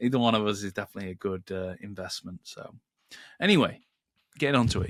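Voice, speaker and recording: Very fast speech comes from a man with a British accent, the sound dry and close with no echo. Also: very clean recording, silent background. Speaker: podcast co-host, Google Ads manager. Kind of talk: casual podcast chat.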